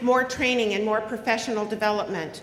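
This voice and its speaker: A woman speaks in a fairly high voice, with audible room echo and noticeable background noise. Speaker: union president. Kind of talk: convention speech. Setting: stage with audience. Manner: loud; animated.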